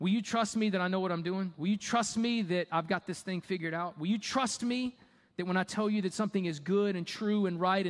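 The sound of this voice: Ordinary pitch variation marks an unforced reading voice.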